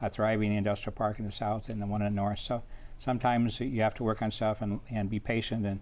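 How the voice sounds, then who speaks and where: With an American accent, a man talks at a very fast pace in a fairly low pitch, his intonation monotone and flat. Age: 60s. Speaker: mayor. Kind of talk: interview. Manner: halting.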